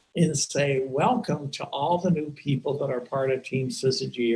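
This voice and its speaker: This man's voice is somewhat breathy and fairly high. His pitch varies in an ordinary way. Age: 70s. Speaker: team leader of a direct-sales business. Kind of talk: webinar talk to a team. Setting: video call.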